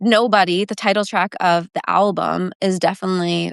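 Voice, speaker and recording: A woman with a Canadian accent speaks in a fairly low pitch with monotone, flat intonation. The sound is dry and close with no echo, and the background is quiet. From small-town Ontario, Canada. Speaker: country singer-songwriter. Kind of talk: interview. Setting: live video stream. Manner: casual, filler-heavy.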